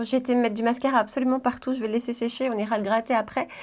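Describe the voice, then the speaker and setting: A woman speaks with a Belgian accent. The recording is very clean, with a silent background. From Belgium, Brussels region. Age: 30s. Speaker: beauty vlogger. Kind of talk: casual chat. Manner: hesitant, many fillers.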